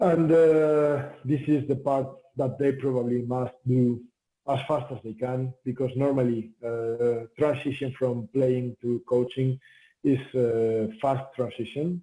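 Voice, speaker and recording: A man with a Spanish accent speaks very slowly in a dark, mellow tone, with medium pitch and fairly even intonation. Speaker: volleyball head coach. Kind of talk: interview. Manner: halting with many fillers.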